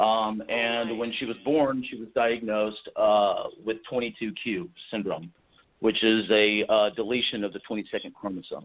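Speaking with an American accent, a man has an unremarkable speaking voice at medium pitch, a fairly slow pace and fairly even intonation. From Texas. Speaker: novelist. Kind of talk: interview. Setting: radio show.

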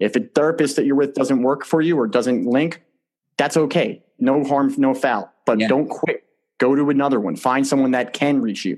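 Here a man with an American accent speaks in a plain, everyday voice at a moderate pace, with a fairly high pitch, ordinary pitch variation and very even loudness. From New Jersey. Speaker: retired soldier and podcast host. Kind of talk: interview.

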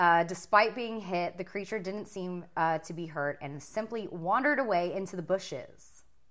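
This woman has a normal speaking voice, pitched fairly low, with ordinary pitch variation. She speaks at a fairly slow pace, and her loudness swings widely. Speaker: podcast host. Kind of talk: casual chat.

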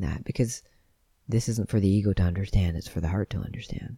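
Soft-spoken and fairly low in pitch, a man talks with a dark, mellow tone and ordinary pitch variation, recorded dry and close with no echo on a very clean, silent background. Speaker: podcast host on veganism and self-awareness. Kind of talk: solo talk, reflective monologue. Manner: soft-spoken, calm.

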